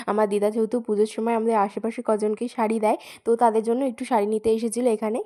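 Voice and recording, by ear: Speaking at a fast pace, a woman with a dark, mellow tone keeps little pitch movement. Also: fairly high pitch for a woman.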